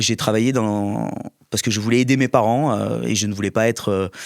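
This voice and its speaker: With ordinary pitch variation, a man talks in a fairly low voice at a moderate pace. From southern France, Var. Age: 30s. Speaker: local political candidate. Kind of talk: interview. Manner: halting, many repetitions and fillers.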